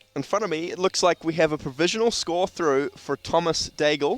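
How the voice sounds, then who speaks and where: Music plays behind a man whose fairly high voice has lively intonation, the sound dry and close with no echo. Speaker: sports commentator. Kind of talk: live commentary. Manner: loud. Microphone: too quiet.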